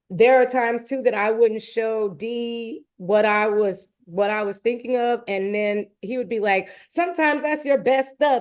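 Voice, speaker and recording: A plain, everyday voice at a fairly slow pace, with ordinary pitch variation and a quiet background. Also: woman, hardly any pauses. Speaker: songwriter and music artist. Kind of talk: live online talk and Q&A.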